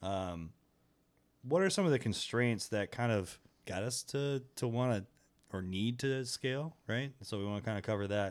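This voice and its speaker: This man has an ordinary speaking voice with a medium pitch and ordinary pitch variation, at a moderate pace. The recording is very clean, with a silent background. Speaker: podcast co-host. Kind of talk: casual chat.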